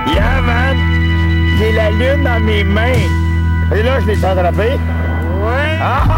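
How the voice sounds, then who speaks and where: Over loud background music, a man speaks at a very slow pace. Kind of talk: casual vlog chat.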